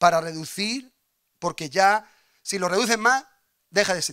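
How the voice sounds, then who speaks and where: In a raised, projected voice, a man speaks at a moderate pace with a high pitch, a bright, sharp tone and an animated manner, his pitch varying in an ordinary way against a quiet background. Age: 40s. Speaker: pastor. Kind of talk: sermon. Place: church. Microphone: handheld.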